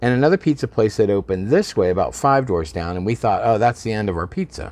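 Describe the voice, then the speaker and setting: Talking at a very fast pace, a man uses lively intonation in a fairly low voice. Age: 60s. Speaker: bar and restaurant owner. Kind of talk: casual interview. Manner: halting.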